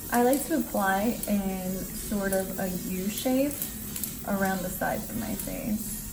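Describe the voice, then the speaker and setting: In a room with audible echo and noticeable background noise, a woman with a medium-pitched voice speaks fairly slowly with ordinary pitch variation. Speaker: makeup artist and beauty vlogger. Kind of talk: makeup tutorial.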